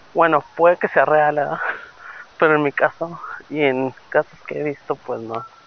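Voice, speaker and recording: The speaker leaves long, frequent pauses while noticeable background noise carries on behind. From Torreón, Mexico. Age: 30s. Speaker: podcaster. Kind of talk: casual monologue. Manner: hesitant, many fillers.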